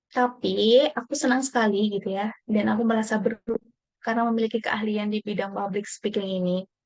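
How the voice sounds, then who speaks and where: With a Javanese accent, a woman talks at a fairly quick pace and fairly high pitch, her intonation fairly even. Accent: Javanese-tinged Indonesian (medok). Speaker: workshop participant. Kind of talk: personal video monologue. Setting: home recording at night. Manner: casual, with fillers.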